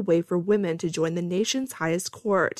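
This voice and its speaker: A woman's unremarkable speaking voice, fairly low-pitched and fairly quick, with ordinary pitch variation. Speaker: newsreader. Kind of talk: radio news reading, scripted and formal. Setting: radio studio. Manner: steady, even, formal newsreader delivery.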